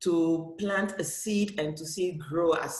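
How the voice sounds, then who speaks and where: A woman talks with fairly even intonation over noticeable background noise. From Cameroon. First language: French. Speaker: comic book author and festival director. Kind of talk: panel discussion. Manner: halting.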